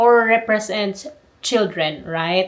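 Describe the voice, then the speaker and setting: A woman with a non-native accent speaks in a medium pitch. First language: not English. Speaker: book vlogger. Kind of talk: casual book review vlog. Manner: halting, self-correcting.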